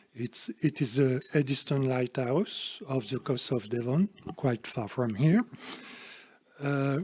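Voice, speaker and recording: The pace is fairly slow. A man talks in a French accent. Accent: French accent, noticeable. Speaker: speaker at a literary society event. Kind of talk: lecture. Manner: halting, many hesitations.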